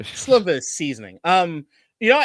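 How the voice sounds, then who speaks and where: Loud and very fast, a man speaks with a bright, sharp tone and very wide pitch swings, dry and close with no echo on a very clean recording with a silent background. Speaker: sports podcast co-host. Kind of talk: casual chat. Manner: animated, yells at times.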